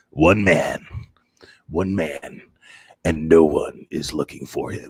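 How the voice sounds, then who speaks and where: Using a put-on character voice, a man speaks slowly at a fairly slow pace in a raspy, very deep, low pitch. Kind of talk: trailer announcer. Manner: dramatic, grave.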